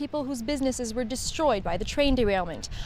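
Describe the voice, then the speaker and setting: A woman speaks with lively intonation. There is noticeable background noise behind her. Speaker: TV news reporter. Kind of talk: TV news report.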